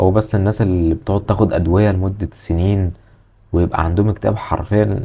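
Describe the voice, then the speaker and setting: A man with a Cairo accent, fairly low in pitch and somewhat breathy, his tone dark and mellow, with fairly even intonation at a fairly quick pace. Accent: Egyptian Arabic (Cairene). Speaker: self-improvement YouTuber. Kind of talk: casual advice monologue. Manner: aggressive tone.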